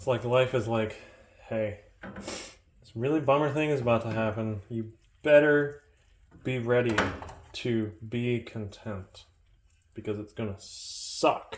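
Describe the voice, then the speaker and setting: The speaker uses a calm tone, fairly even intonation and a very slow pace, with long, frequent pauses. Noticeable background noise sits behind the voice. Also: man, medium pitch for a man. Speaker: vlogger. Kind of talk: casual monologue. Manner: calm, low-key.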